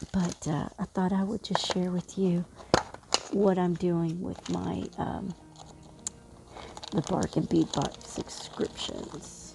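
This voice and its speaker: Over music in the background, a soft-spoken woman talks at a very slow pace with long, frequent pauses. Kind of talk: casual crafting vlog. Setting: at home late at night. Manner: soft-spoken, talking low; hesitant, many fillers.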